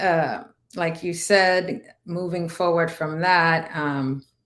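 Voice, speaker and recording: The woman's voice sits at a fairly low pitch. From Dominican Republic. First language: Spanish. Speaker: navy veteran and cannabis entrepreneur. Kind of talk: interview testimony.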